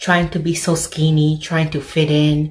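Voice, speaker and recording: Over a quiet background, a woman with a very deep, low voice speaks at a fairly slow pace, sounding somewhat breathy. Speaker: vlogger. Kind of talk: casual vlog chat. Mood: encouraging, motivational. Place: home room. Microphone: phone near.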